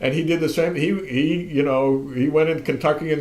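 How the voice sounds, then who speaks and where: A man's fairly high voice, fairly quick and monotone with flat intonation, amid noticeable background noise and audible room echo. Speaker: radio host. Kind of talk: casual chat. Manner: halting, many fillers; projecting.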